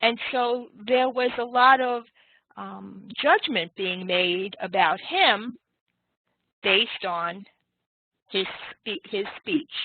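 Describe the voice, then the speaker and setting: A woman with a New York accent, fairly high-pitched and lively in intonation, at a very slow pace with long, frequent pauses and big swings in loudness. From New York City (Manhattan). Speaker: teacher. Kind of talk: online class lecture. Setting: online web class session.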